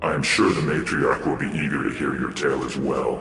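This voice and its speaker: A growling put-on character voice at a moderate pace, with clear echo. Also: man. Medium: machinima. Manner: archaic, formal.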